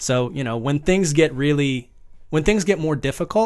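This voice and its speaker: A man with an ordinary speaking voice, fairly high in pitch, lively in intonation, at a moderate pace over a quiet background. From US, rural Northern Virginia. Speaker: actor and producer. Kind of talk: casual chat.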